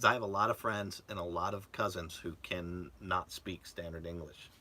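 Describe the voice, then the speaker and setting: The voice has a bright, sharp tone, fairly even intonation and a moderate pace. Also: man, very deep, low pitch for a man. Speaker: RV vlogger. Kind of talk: casual live-stream chat.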